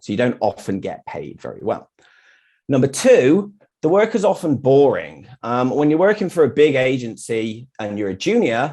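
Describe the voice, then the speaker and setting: A man with a British accent speaks at a fairly high pitch, his tone dark and mellow. His pitch swings very widely and his loudness swings a lot, over a quiet background. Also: moderate pace. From UK. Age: 40s. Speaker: graphic designer. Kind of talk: meetup talk with slides.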